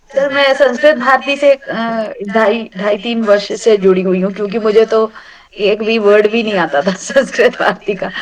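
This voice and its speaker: Hardly pausing, a woman with a slight South Indian accent talks in a fairly high pitch with ordinary pitch variation over noticeable background noise. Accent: slight South Indian accent in Hindi. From South India, Andhra Pradesh. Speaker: retired banker, Sanskrit course student. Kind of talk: casual self-introduction in online class. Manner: halting, with fillers.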